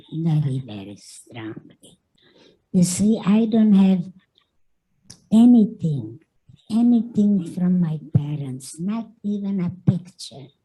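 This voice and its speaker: Speaking at a very slow pace, a woman with a non-native accent has a fairly low pitch, a dark, mellow tone, a somewhat breathy quality and lively intonation. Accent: foreign. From Carpathian Mountains, Czechoslovakia. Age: 90s. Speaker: Holocaust survivor. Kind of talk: testimony.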